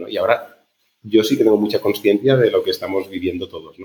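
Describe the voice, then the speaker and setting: A man is speaking. His pace is very fast. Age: 40s. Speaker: startup founder and CEO. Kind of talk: interview conversation.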